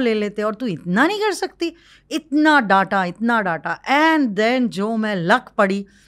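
Over a quiet background, a woman speaks at a very slow pace in a fairly high voice with very wide pitch swings. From Maharashtra, India (village). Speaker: social entrepreneur and lawyer; lawyer. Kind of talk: interview. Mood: emotional, reflective storytelling. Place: studio. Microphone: studio mic.

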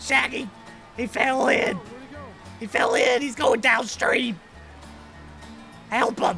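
With clear music in the background, a man speaks fairly slowly in an extremely high voice. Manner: panicked, shouting.

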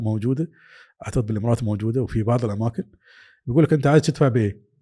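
This man's tone is dark and mellow, and his intonation is lively. The background is quiet. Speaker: telecom executive; interview guest. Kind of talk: interview. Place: studio. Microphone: studio mic.

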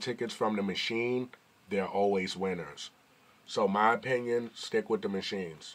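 An unremarkable speaking voice with an American accent moves at a moderate pace with fairly even intonation. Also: man. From New York. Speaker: YouTuber. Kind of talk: casual vlog commentary. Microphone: phone near.

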